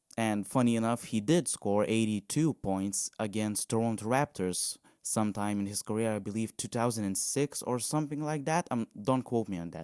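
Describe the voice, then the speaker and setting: At a moderate pace, a man talks with medium pitch and ordinary pitch variation, the sound dry and close with no echo on a very clean recording with a silent background. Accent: non-native. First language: not English. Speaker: podcast host. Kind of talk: casual monologue. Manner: halting.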